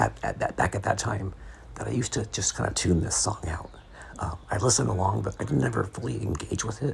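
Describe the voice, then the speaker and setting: A man whispers. He talks at a very fast pace. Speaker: podcaster. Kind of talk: sleep podcast essay reading. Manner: whispery.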